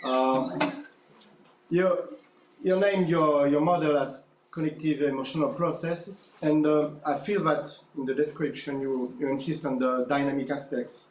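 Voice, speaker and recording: Speaking with a French accent, a man has a fairly high pitch and fairly even intonation. Noticeable background noise and audible room echo come through. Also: moderate pace. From France. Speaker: academic conference audience member. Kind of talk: conference Q&A question. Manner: halting.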